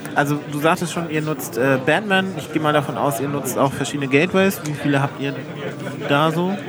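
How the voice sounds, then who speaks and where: A man talks at a fairly quick pace in a fairly high voice. Noticeable background noise and audible room echo are present. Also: ordinary pitch variation. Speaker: podcast host. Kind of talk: casual chat.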